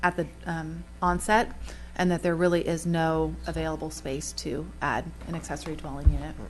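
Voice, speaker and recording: A woman speaks at a moderate pace, and audible room echo fills the space around her. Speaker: town planner. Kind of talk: council meeting discussion. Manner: halting.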